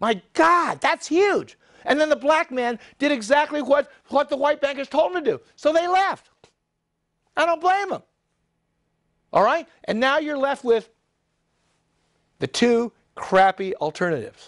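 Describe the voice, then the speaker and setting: A man with an American accent talks at an extremely high pitch in an animated tone, fairly slow with long, frequent pauses. The sound is dry and close with no echo. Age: 70s. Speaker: political commentator. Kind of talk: monologue. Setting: studio.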